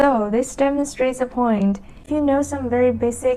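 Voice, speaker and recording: With a Chinese accent, a woman talks at a fairly high pitch with fairly even intonation. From China. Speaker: language learning vlogger. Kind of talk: casual talk to camera. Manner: slow; halting.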